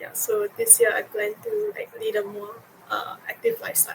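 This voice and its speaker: A woman talks over noticeable background noise. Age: 20s. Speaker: psychology student and intern. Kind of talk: panel discussion.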